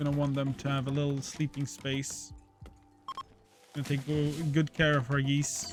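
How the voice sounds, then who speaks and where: Over music in the background, a man with a fairly high voice speaks at a moderate pace with fairly even intonation and long, frequent pauses. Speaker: gaming streamer. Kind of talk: gameplay commentary.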